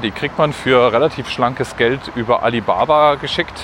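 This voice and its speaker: The speaker keeps a moderate pace and ordinary pitch variation against noticeable background noise. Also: man. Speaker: podcaster. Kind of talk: solo walking monologue podcast. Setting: outdoors, walking through the city. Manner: casual, slightly halting.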